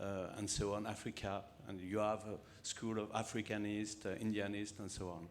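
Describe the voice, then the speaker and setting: Fairly low-pitched, a man with a French accent speaks at a fairly quick pace. His intonation is monotone and flat. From France. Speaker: historian. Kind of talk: panel discussion. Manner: halting.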